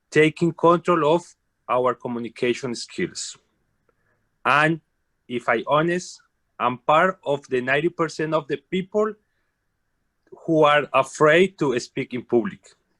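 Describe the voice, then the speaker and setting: In a Colombian accent, a man speaks fairly slowly at a fairly high pitch with a bright, sharp tone, long, frequent pauses, and a dry, close sound with no echo. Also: ordinary pitch variation. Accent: Colombian Spanish accent, non-native English. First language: Spanish. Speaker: carpenter, club guest. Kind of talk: self-introduction.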